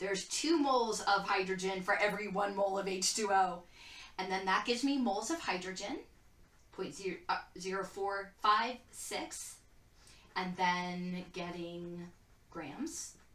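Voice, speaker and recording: Audible room echo around a woman's medium-pitched voice at a fairly slow pace, with ordinary pitch variation. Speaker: chemistry teacher. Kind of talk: lecture.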